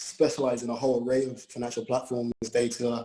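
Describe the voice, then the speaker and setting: Speaking at a moderate pace with a London accent, a man uses a medium pitch. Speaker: private wealth advisor, panelist. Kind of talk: panel discussion.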